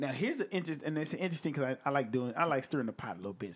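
Very fast and animated, a man talks with lively intonation and a fairly high pitch. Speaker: podcast host and rapper reviewing music. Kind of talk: casual chat. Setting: studio.

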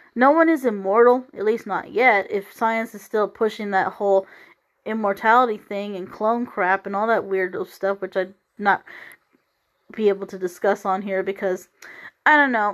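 A woman speaks at a moderate pace and medium pitch with ordinary pitch variation, in a normal speaking voice. The recording is very clean, with a silent background. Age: 30s. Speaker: podcast host. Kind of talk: solo monologue. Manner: rambling, conversational.

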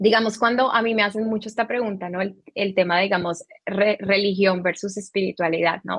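A woman with a plain, everyday voice speaks at a medium pitch and a moderate pace, with fairly even intonation. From Colombia. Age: 30s. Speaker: spiritual teacher. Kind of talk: interview.

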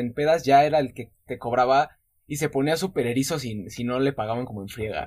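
A man speaks at a fairly quick pace with ordinary pitch variation. He has an ordinary speaking voice. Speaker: podcast host. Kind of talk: casual chat.

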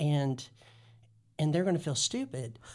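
A man with an American accent has a fairly high pitch and ordinary pitch variation. His is a normal speaking voice. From US South, North Carolina (Guilford County). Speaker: pastor. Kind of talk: casual chat.

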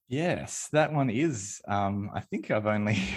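With an Australian accent, a man talks at a fairly low pitch with ordinary pitch variation. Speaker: indie game designer. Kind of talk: casual chat.

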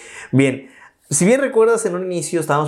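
Audible room echo hangs on the words of a man as he talks. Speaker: podcast host. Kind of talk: interview.

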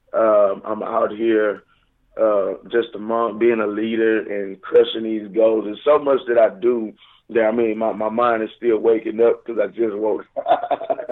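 A man in a Southern US accent, fairly slow pace, monotone, flat intonation. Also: medium pitch for a man. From Houston, Texas area. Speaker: radio show guest, recording artist.

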